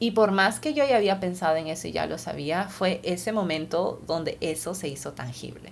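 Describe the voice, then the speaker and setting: A woman speaks in a Peruvian accent at a moderate pace. She leaves hardly any pauses. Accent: Peruvian Spanish (Lima). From Lima, Peru. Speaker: podcast host, scientist. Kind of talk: podcast monologue.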